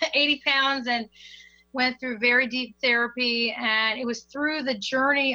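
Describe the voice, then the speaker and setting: A woman with an American accent, bright and sharp in tone, at a fairly slow pace. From Maryland, US (Hagerstown). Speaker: singer and session vocalist. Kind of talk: casual interview chat. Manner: animated.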